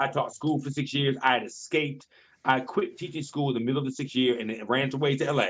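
A man with an American accent talks very fast in a fairly high pitch. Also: fairly even intonation. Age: 40s. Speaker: director and choreographer. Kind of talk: casual chat.

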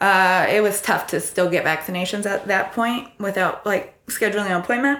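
A woman's bright, sharp tone with lively intonation and an American accent. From US Midwest, Iowa. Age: 30s. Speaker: backpacker. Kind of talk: interview.

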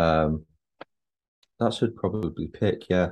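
A man with a very deep, low voice talks at a moderate pace against a quiet background. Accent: Mancunian. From Manchester (Chorlton), northern England. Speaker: actor. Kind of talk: casual chat.

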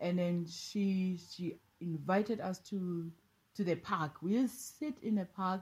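A woman's somewhat breathy voice at a medium pitch and very slow pace, with ordinary pitch variation, on a very clean recording with a silent background. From South Africa, Eastern Cape and Pretoria. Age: 40s. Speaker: life coach. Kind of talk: casual interview.

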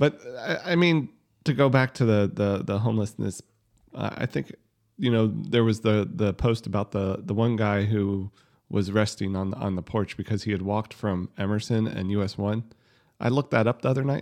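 A man speaks in an ordinary speaking voice, fairly low in pitch with ordinary pitch variation. His pace is moderate and the background is quiet. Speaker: podcast host. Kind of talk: casual chat.

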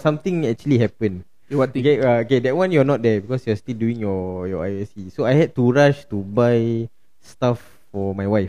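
At a moderate pace, a man speaks in a dark, mellow tone at medium pitch, with ordinary pitch variation. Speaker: podcast host. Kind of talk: casual chat. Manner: animated.

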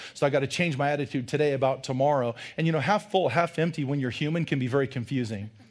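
This man speaks with a fairly high pitch. His pitch varies in an ordinary way. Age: 40s. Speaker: pastor. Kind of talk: sermon. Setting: church. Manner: animated.

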